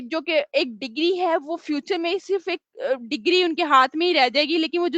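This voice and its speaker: A woman talks with a high pitch. Her pitch variation is ordinary. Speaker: training facilitator at an online school. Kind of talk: interview answer. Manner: soft-spoken.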